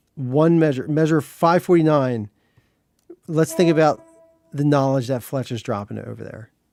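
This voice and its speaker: Music plays in the background as a man talks with ordinary pitch variation and long, frequent pauses. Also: fairly high pitch for a man, moderate pace. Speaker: composer livestreamer. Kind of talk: casual livestream chat while composing. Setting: livestream. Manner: halting, repeats words.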